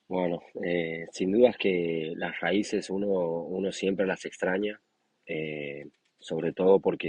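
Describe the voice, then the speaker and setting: A man's very deep, low voice in a Santiago del Estero accent, with fairly even intonation. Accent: Argentine Spanish, Santiago del Estero. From Argentina, Santiago del Estero. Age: 20s. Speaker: professional rugby player. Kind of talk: interview. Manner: hesitant, many fillers.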